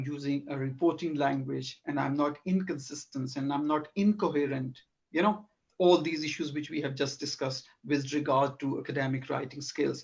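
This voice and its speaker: A man with a somewhat breathy, fairly high voice talks at a moderate speed, his intonation fairly even. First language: not English. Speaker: academic researcher. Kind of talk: academic discussion. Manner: halting.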